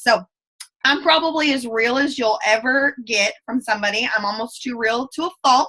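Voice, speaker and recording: A woman speaks high-pitched with a strong Southern US accent. Her voice is raised and projected. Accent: thick Southern US. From US South. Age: 20s. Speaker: direct sales ambassador. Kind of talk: motivational talk. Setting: video call. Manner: fast; animated.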